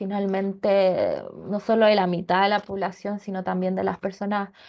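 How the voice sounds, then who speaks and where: A woman with a Chilean accent speaks at a medium pitch in a monotone, flat intonation. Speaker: seminar panelist. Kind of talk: seminar talk. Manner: halting, many fillers and repetitions.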